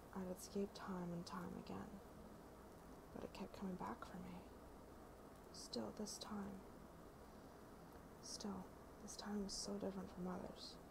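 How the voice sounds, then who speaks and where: A woman at a fairly slow pace, with long, frequent pauses and loud background noise. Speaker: ASMR creator. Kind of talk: ASMR reading of a novel preface. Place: home room. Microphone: earbuds.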